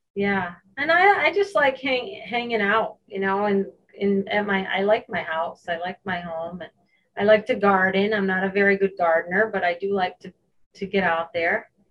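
A woman talks in an unremarkable speaking voice at a moderate pace. Her pitch is medium, with ordinary pitch variation. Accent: American. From upstate New York. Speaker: cardiac rehab nurse. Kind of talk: interview.

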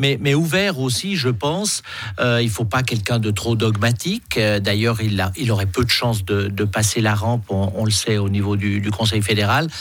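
Against noticeable background noise, a man with a fairly low pitch talks at a moderate pace, his loudness very even and his pitch variation ordinary. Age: 60s. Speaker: politician. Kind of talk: radio interview. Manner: halting, repeats words.

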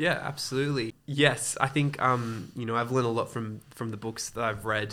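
Bright and sharp in tone, a man with an Australian accent speaks at medium pitch and a moderate pace, with fairly even intonation and hardly any pauses. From Sydney, Australia. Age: 20s. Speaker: wedding photographer and church volunteer. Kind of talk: interview conversation.

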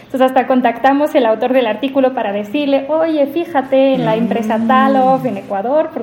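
This woman talks at a fairly quick pace with hardly any pauses, her high pitch showing ordinary variation. Noticeable background noise runs behind her. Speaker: AI policy researcher. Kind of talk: interview conversation.

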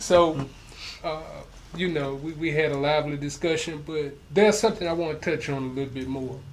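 A man with a fairly high pitch speaks at a fairly quick pace with ordinary pitch variation over noticeable background noise. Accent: American. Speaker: podcast host. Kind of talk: casual interview chat. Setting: in-person studio.

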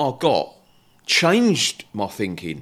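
Vocal fry runs through this man's speech. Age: 40s. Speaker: podcast host. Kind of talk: casual interview chat. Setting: video call.

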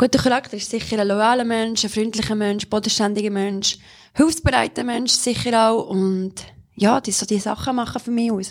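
Speaking in a Solothurn accent, a woman uses a fairly high pitch. Her intonation stays fairly even at a moderate pace. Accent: Swiss German (Solothurn). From Switzerland, Solothurn. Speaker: model and presenter. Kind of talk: casual interview.

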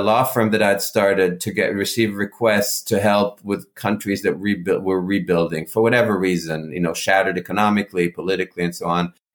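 A man with a normal speaking voice talks at a fairly quick pace and a fairly low pitch. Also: hardly any pauses. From mixed: Israel, Africa, Europe, US. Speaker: conflict negotiator and foundation head. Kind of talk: interview.

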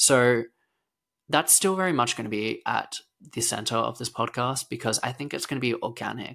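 In an Australian accent, a man speaks at a moderate pace with a medium pitch, a bright, sharp tone and some vocal fry. The recording is very clean and the background silent. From Australia, rural Victoria. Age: 20s. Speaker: gymnast and podcast host. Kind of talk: casual solo podcast monologue.

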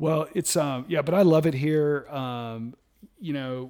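This man has an ordinary speaking voice, medium in pitch, with ordinary pitch variation and an American accent. The recording is very clean, with a silent background. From US South. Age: 50s. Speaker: IT innovation strategist and outdoor enthusiast. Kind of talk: casual chat.

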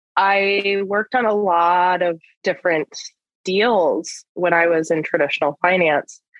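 In an American accent, a woman with an unremarkable speaking voice talks fairly slowly at medium pitch, with fairly even intonation and very even loudness. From rural US. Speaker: lending executive at a social finance firm. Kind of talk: interview.

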